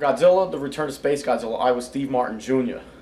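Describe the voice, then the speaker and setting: Recorded with audible room echo and noticeable background noise, a man with an American accent speaks in a medium pitch with fairly even intonation. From US Northeast, New Jersey/New York. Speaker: toy reviewer and fan-film voice actor. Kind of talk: interview. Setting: fan convention.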